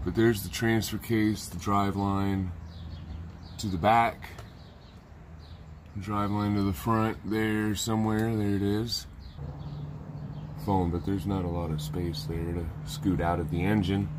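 At a fairly slow pace with long, frequent pauses, the speaker shows ordinary pitch variation over light background noise. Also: man. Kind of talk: tutorial. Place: garage. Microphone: phone near.

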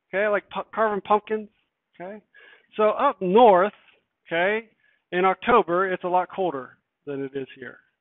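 A man with a high voice speaks at a moderate pace, his pitch moving in an ordinary way. His loudness swings widely, and he leaves long, frequent pauses. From Pennsylvania, US. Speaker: chemistry teacher. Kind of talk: lecture. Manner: casual, filler-heavy (uh, okay).

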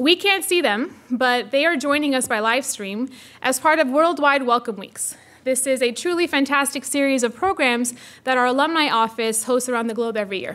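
Pitched high, a woman's voice moves at a moderate pace with ordinary pitch variation. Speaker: faculty director hosting event. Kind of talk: formal welcome speech. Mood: warm, enthusiastic. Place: hall. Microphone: podium.

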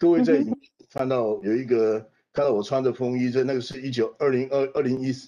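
In a Taiwanese accent, a man talks at a fairly quick pace and a medium pitch. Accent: Taiwanese Mandarin. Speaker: political scientist; panelist. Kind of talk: panel discussion. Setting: video call. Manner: animated. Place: home room. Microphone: video call.

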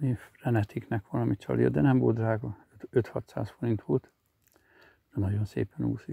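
A man with a dark, mellow tone and vocal fry speaks at a fairly low pitch with very wide pitch swings. His pace is moderate, with long, frequent pauses, and the sound is dry and close with no echo. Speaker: angler vlogger. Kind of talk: casual outdoor vlog narration. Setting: outdoors on a riverbank.

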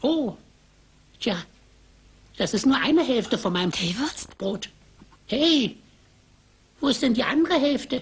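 A put-on character voice that sounds female, high-pitched for a woman, at a moderate pace with long, frequent pauses. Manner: surprised, indignant.

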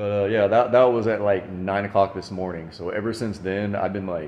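Over light background noise and with audible room echo, a man talks at a moderate pace in a very deep, low voice with fairly even intonation. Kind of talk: casual vlog chat. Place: garage. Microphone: phone near.

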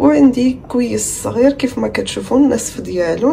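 Over light background noise, a woman speaks at a high pitch. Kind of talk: tutorial. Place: kitchen. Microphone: phone near.

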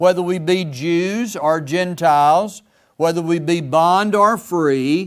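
Against a quiet background, a man speaks very slowly in a high voice with ordinary pitch variation. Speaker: preacher. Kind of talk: sermon. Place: church. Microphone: podium.

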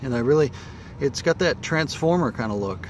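A man speaks at a fairly quick pace with ordinary pitch variation. The sound is dry with no echo, over light background noise. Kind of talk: casual vlog walkaround. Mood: pleased, relaxed. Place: street. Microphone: phone near.

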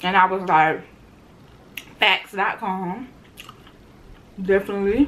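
Light background noise sits behind a woman at a medium pitch. She talks at a fairly slow pace with ordinary pitch variation. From Tallahassee, Florida. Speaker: food vlogger. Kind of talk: mukbang eating show talk to camera. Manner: casual, upbeat. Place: home room.

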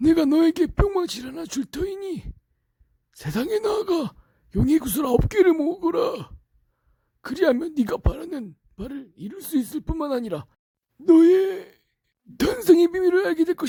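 In a put-on character voice, the speaker talks at an extremely high pitch and a moderate pace. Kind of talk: archaic, formal.

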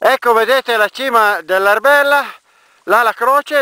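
The background stays quiet. Against it, a man's raised, projected voice has a bright, sharp tone. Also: dry sound with no echo. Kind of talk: casual narration of a hike. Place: open country. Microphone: phone near.

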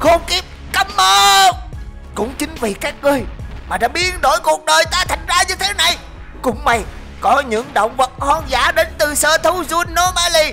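Over clear background music, a woman uses a put-on character voice, pitched high and delivered at a moderate pace. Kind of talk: comic overacting. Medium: machinima. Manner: furious, defiant.

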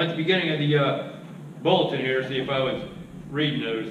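The speech comes at a very fast pace, with noticeable background noise and audible room echo. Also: man. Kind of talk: church announcements. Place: church. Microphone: podium.

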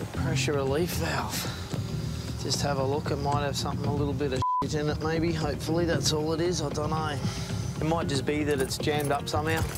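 With loud music behind him, a man talks at a very fast pace in a dry sound with no echo. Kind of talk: casual commentary to camera crew. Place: street. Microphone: lapel.

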